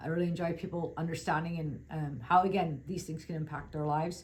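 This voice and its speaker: A woman with a fairly low, somewhat breathy voice speaks at a fairly quick pace, with audible room echo around her. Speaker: financial advisor. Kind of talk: webinar presentation. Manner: fast.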